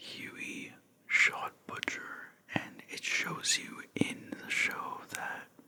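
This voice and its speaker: Very slow whispering amid noticeable background noise. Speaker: ASMR creator. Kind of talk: ASMR whisper ramble about a TV finale. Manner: whispered, soft; casual, rambling.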